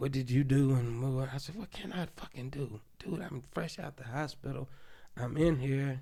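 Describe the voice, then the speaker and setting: Big swings in loudness mark a man's somewhat breathy, dark, mellow voice with an American accent, delivered at a moderate pace. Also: medium pitch for a man, ordinary pitch variation. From Oklahoma City, US. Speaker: podcast guest. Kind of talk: casual interview, personal storytelling. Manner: halting, many restarts and repetitions.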